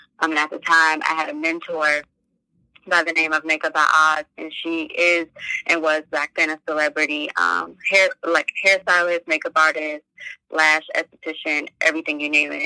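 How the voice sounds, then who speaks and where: The speaker has an American accent and a bright, sharp tone, delivered in a monotone with flat intonation. The pace is moderate, and the sound is dry and close with no echo. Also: woman, very deep, low pitch for a woman. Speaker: entrepreneur and nonprofit founder. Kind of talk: interview.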